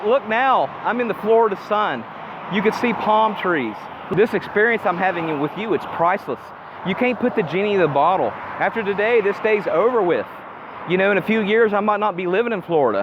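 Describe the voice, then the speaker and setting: Noticeable background noise sits behind a man speaking at a fairly quick pace. His pitch is high for a man, with ordinary variation. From Appalachia, US. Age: 40s. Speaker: self-improvement vlogger. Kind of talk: casual vlog monologue. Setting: outdoors, walking in the sun.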